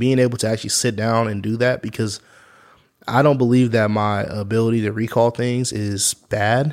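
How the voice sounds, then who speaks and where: A man with an American accent speaks in an ordinary speaking voice at a medium pitch and a moderate pace. His intonation is fairly even, and the recording is very clean with a silent background. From Kansas, US. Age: 30s. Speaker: youth club coordinator. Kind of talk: casual interview.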